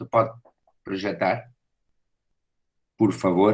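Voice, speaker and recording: Here a man is speaking. He talks at a fairly slow pace. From Portugal. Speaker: professor. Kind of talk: lecture. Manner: halting, with frequent fillers and repetitions.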